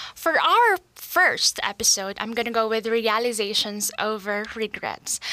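Amid noticeable background noise, a woman talks at a fairly slow pace with a fairly high pitch. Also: ordinary pitch variation. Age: 20s. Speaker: podcast host, teacher. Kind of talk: casual monologue podcast. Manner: chatty, talkative.

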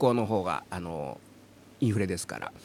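Vocal fry marks this man's voice. He speaks at a moderate pace. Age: 50s. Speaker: podcast host and voice trainer. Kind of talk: casual chat.

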